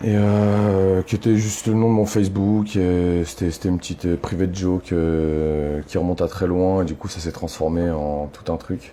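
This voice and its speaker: Over noticeable background noise, a man with a very deep, low pitch talks at a moderate pace with hardly any pauses and fairly even intonation. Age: 30s. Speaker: activist. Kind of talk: interview. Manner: halting, many fillers.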